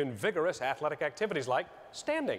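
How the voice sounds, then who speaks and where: A man rushes along at a very fast pace while noticeable background noise carries on. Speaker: stand-up comedian. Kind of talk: stand-up comedy set. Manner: insincere, playfully self-delusional.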